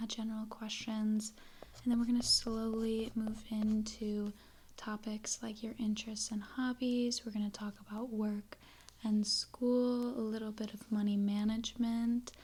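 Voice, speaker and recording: Through noticeable background noise, a soft-spoken woman with a fairly high pitch talks at a fairly slow pace in a monotone, flat intonation. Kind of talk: ASMR personal-questions roleplay for sleep. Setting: home desk with creaking and light background noise. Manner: soft-spoken, relaxing.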